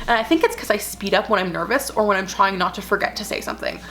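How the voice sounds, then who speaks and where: Against noticeable background noise, a woman with a medium-pitched voice talks at a very fast pace in an animated tone. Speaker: lifestyle vlogger. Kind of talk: casual vlog.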